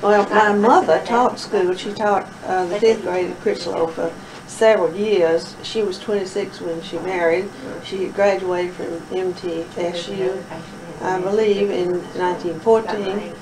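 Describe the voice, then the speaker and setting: With a Tennessee accent, a woman speaks at a fairly slow pace in a medium pitch and fairly even intonation, with audible room echo and noticeable background noise around her. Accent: Southern US, Tennessee. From Middle Tennessee. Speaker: oral history interviewee. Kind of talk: oral history interview.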